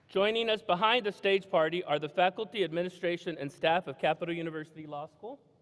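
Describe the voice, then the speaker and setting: A man talks at a very fast pace with a high pitch and hardly any pauses. His volume swings widely. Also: ordinary pitch variation. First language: Spanish. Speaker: law school dean. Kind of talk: ceremony welcome speech. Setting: stage with audience. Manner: warm, relaxed.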